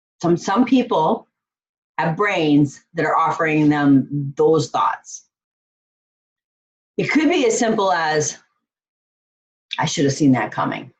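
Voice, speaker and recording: A somewhat breathy woman at a very slow pace, with lively intonation and long, frequent pauses. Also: fairly low pitch for a woman. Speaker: life coach. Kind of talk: online course lesson.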